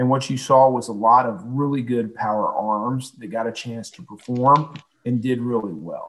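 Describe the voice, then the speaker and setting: The speaker is a man at medium pitch. His pitch variation is ordinary. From Houston, Texas. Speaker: former baseball club president. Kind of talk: interview. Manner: halting, many fillers.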